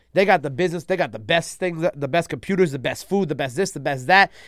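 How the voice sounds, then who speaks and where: On a very clean recording with a silent background, a man with a New York accent speaks very fast. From New York City (Queens and Long Island). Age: 20s. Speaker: radio host and platform founder. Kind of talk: casual interview chat.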